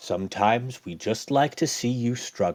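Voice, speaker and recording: A put-on character voice rumbles along at a moderate pace. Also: man. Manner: teasing, ominous.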